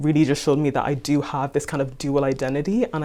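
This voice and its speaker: A woman with a dark, mellow tone and a very deep, low pitch talks at a very fast pace. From Ireland, Kerry (Tralee). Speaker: business graduate, interviewee. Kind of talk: interview conversation.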